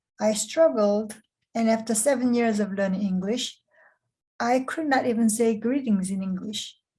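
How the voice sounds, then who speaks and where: Somewhat breathy and dark, mellow in tone, a woman speaks at a moderate pace in a fairly high pitch with ordinary pitch variation. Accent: Korean. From South Korea. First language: Korean. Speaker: program director. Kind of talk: scripted interview.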